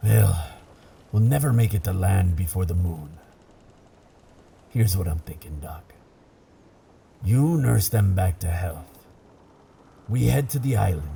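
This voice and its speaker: Putting on a character voice, a man speaks very deep and low at a moderate pace, leaving long, frequent pauses. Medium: audio drama. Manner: gruff, commanding, salty.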